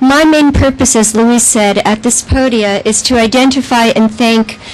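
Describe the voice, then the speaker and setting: A moderate pace and fairly even intonation over noticeable background noise. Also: woman. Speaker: arts project manager. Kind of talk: ceremony speech.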